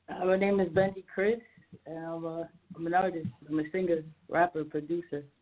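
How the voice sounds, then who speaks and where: With an American accent, a woman with an unremarkable speaking voice talks at a moderate pace, her pitch fairly low and her intonation fairly even. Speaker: singer and rapper. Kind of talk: interview. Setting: phone call.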